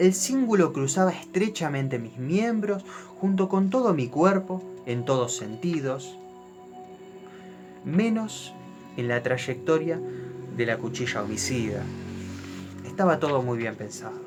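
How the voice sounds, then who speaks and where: In an Argentine accent, a man with a fairly high pitch speaks at a fairly slow pace with very wide pitch swings and long, frequent pauses, music playing in the background. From Argentina. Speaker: storyteller. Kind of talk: horror story narration.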